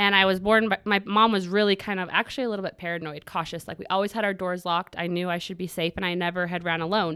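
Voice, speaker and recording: With an American accent and a bright, sharp tone, a woman speaks at a very fast pace with hardly any pauses, keeping a medium pitch and fairly even intonation on a very clean recording with a silent background. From Utah, US. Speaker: self-defense instructor and social media creator. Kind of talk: casual interview, personal testimony.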